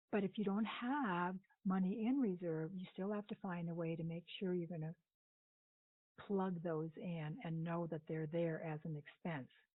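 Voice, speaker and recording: Here is a normal speaking voice at a moderate pace with ordinary pitch variation. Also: woman, fairly low pitch for a woman. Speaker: budget coach. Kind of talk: recorded training lecture.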